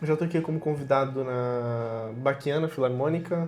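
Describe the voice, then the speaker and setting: A man speaks with fairly even intonation. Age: 30s. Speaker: violinist. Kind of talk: casual interview chat.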